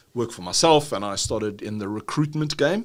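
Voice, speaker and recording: A man with a South African accent at a very fast pace, with very wide pitch swings, on a very clean recording with a silent background. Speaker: business trainer, dyslexia and ADHD advocate. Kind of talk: podcast interview. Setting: university facility.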